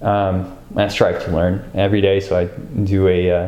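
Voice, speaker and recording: With an American accent, a man talks at a fairly slow pace in a very deep, low pitch and a monotone, flat intonation. Audible room echo and noticeable background noise fill the recording. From US, immigrant from Ukraine as a child. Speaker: interviewee in documentary. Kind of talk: interview. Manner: hesitant, many fillers.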